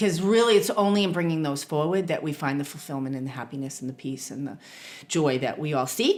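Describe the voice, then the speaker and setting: The speaker has a Boston accent and talks very fast. The intonation is lively. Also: woman, very deep, low pitch for a woman. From Boston, US. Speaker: therapist and spiritual teacher. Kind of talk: podcast interview.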